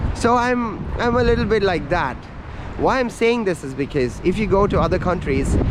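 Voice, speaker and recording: Noticeable background noise sits under the speech, and the room gives off an audible echo. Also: man. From India. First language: not English, speaks Hindi. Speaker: travel vlogger. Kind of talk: casual vlog monologue. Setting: outdoors at a coastal lookout. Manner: casual, ranting.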